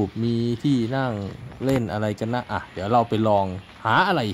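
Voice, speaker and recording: Over light background noise, a man's pitch varies in an ordinary way. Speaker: travel vlogger. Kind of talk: casual vlog chat. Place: garden. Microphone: phone near.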